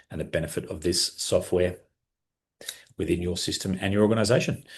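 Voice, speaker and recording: A very deep, low male voice, somewhat breathy, at a fairly quick pace with ordinary pitch variation over a quiet background. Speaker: software trainer. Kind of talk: webinar tutorial. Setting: live online webinar. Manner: fast; enthusiastic.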